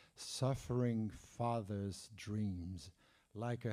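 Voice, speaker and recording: A man with a fairly low voice speaks in a Parisian accent. His tone is dark and mellow, with ordinary pitch variation. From France, Paris. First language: French. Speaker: jazz historian and author. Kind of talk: conference talk; reading aloud. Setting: conference room with audience. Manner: halting, many fillers.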